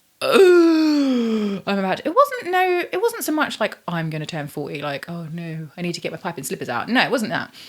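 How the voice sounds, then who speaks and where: With a British accent, a woman at a moderate pace makes very wide pitch swings and big swings in loudness. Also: medium pitch for a woman. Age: 40s. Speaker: YouTuber. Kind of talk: casual vlog chat. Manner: chatty, filler-heavy.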